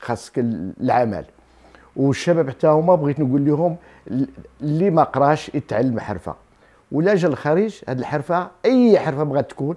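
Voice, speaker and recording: Against a quiet background, a man speaks at a moderate pace in a dark, mellow tone with lively intonation. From Morocco, Tiflet, Souss roots; Morocco. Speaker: shop owner. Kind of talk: interview. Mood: warm, cheerful. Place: home room. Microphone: lapel.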